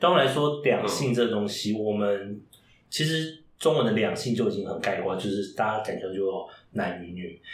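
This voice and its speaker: Here is a man with a plain, everyday voice and a fairly low pitch. He talks at a moderate pace with lively intonation. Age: 30s. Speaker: drag queen who reads picture books to children. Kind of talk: interview.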